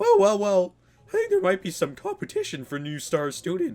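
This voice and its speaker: A put-on character voice at a moderate pace. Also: man, high pitch for a man. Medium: game stream. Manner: pompous, stern.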